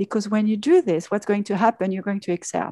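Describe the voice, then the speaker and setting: A woman talks at a fairly quick pace in a French accent, her pitch fairly high. Her tone is dark and mellow, and the sound is dry and close with no echo. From France. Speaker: pharmaceutical executive. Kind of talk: interview. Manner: hesitant, many fillers.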